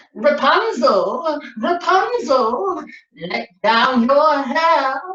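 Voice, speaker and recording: A woman's put-on, cackling character voice, high-pitched and very slow, with a slight echo. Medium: read story. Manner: cackling, witchy.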